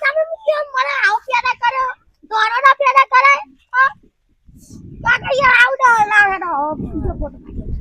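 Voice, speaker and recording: Someone uses a put-on character voice at an extremely high pitch, talking at a fairly slow pace. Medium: comedy sketch.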